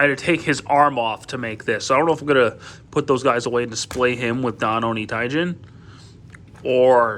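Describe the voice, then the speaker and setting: Mumbling in a bright, sharp tone, a man of medium pitch speaks with ordinary pitch variation. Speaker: toy reviewer. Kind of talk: product review. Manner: halting, many fillers.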